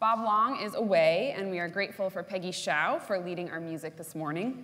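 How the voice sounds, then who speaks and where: A woman's voice with ordinary pitch variation at a moderate pace. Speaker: minister. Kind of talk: worship service announcements. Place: church.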